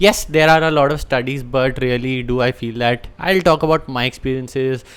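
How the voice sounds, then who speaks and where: A man with an Indian accent, medium pitch, moderate pace and ordinary pitch variation. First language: Hindi. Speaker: language teacher. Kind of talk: unscripted talk to camera.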